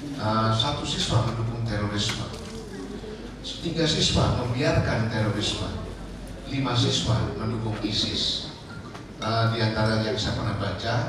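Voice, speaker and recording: A man talks at a fairly slow pace, leaving long, frequent pauses. There is noticeable background noise and strong room echo. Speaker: official presenting to influencers. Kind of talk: lecture. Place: hall.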